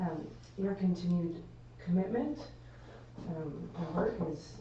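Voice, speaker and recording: A woman talks at a fairly slow pace with a fairly low pitch and ordinary pitch variation. Room echo is audible, and there is noticeable background noise. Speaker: municipal administrator. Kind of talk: formal address at council meeting. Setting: council chamber, live stream. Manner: loud.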